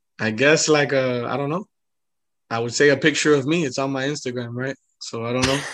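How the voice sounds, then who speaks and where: An ordinary speaking voice with an American accent moves at a fairly quick pace with fairly even intonation. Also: man, medium pitch for a man. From Miami (Hialeah), Florida. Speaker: rapper and music producer. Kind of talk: casual interview chat.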